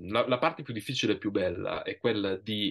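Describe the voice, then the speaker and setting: A man at a moderate pace, fairly low in pitch, with ordinary pitch variation and a quiet background. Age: 40s. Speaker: writer and writing teacher; writing teacher. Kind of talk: interview. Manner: halting, many repetitions. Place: home room. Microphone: video call.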